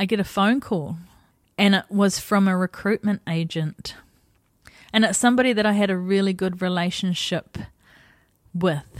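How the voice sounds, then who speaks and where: A woman with a New Zealand accent, fairly even intonation and long, frequent pauses, in a dry, close sound with no echo and a very clean, silent background. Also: medium pitch for a woman, moderate pace. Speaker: podcast host and life coach. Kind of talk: personal storytelling monologue. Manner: casual, conversational.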